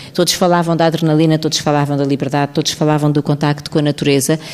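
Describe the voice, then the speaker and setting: Over noticeable background noise, the speaker uses monotone, flat intonation with a European Portuguese accent. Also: woman. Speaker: talk show host. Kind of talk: panel discussion. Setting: stage with audience.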